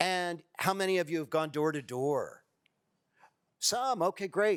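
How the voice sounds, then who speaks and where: A man with an American accent talks at a fairly slow pace in a plain, everyday voice, with ordinary pitch variation. The recording is very clean, with a silent background. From US Midwest, Ohio. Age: 60s. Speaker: workshop leader, political organizer. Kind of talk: workshop talk.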